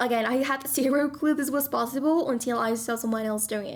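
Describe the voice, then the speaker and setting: A woman with a non-native accent speaks at a fairly quick pace with ordinary pitch variation. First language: not English. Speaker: tech tutorial youtuber, social media content coach. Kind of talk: tutorial.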